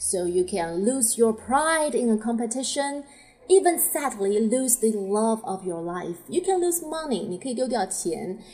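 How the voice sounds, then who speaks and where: Over noticeable background noise, a woman with a Chinese accent speaks fairly slowly at a fairly high pitch, her pitch swinging very widely. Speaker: English teacher podcaster. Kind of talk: tutorial.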